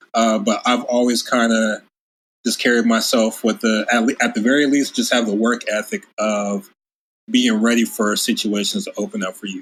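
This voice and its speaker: A man with an American accent speaks in a plain, everyday voice, keeping a medium pitch, fairly even intonation and a moderate pace. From US West Coast, Covina near LA. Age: 30s. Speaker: music producer. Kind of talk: casual interview chat.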